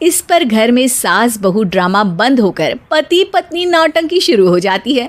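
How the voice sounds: At a fairly slow pace, a woman speaks in a fairly high pitch with big pitch swings.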